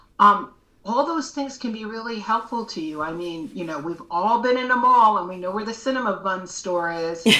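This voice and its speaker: A woman's fairly high voice, a plain, everyday voice, with lively intonation at a moderate pace. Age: 60s. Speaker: educator and advocate with low vision. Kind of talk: podcast interview.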